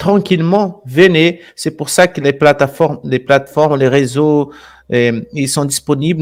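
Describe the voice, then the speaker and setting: A man speaks at a very slow pace in a Brazilian accent. His pitch is fairly high. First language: Portuguese (speaking French). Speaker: alternative history presenter. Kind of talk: live stream talk. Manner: halting, repeats words.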